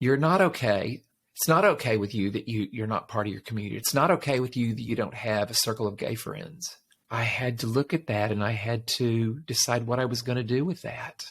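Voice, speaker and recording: A man talks at a fairly quick pace in a medium pitch, his voice somewhat breathy. Pitch variation is ordinary, and the recording is very clean with a silent background. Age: 60s. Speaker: life coach and podcast host. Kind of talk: interview testimony.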